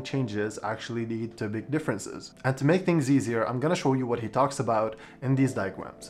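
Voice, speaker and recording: A man talks fairly quickly with a non-native accent. His pitch is medium, with ordinary pitch variation. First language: not English. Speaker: book reviewer. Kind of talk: vlog-style book review.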